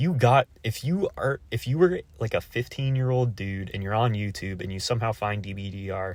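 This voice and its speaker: An unremarkable speaking voice from a man, fairly low in pitch with ordinary variation, at a moderate pace on a very clean recording with a silent background. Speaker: YouTuber. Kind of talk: casual monologue reacting to a comment.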